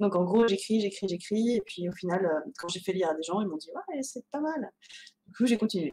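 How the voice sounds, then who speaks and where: A woman's dark, mellow voice at a moderate pace, with lively intonation and big swings in loudness. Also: medium pitch for a woman. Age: 30s. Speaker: novelist. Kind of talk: interview. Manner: hesitant, many fillers.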